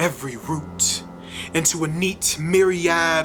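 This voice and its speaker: There is music playing in the background. A woman talks with a fairly low pitch. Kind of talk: spoken word poetry reading.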